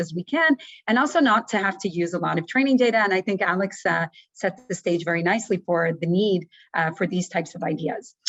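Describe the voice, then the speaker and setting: Lively intonation marks this woman's medium-pitched voice as she moves along at a fairly quick pace. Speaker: professor, researcher in signal processing. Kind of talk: lecture. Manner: fast.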